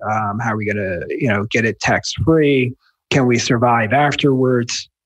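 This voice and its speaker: The speaker has a slight New Jersey accent and a moderate pace with ordinary pitch variation. The sound is dry and close, without echo. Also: man, medium pitch for a man. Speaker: wealth manager and author. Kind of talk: interview answers.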